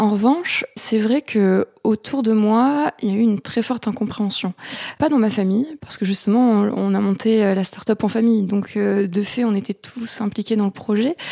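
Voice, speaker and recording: With a dark, mellow tone, a woman speaks at a fairly high pitch and moderate pace with ordinary pitch variation, in a dry, close sound with no echo. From southeastern France, Aix-en-Provence area. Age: 20s. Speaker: agritech startup founder. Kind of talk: interview. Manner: halting, with frequent fillers.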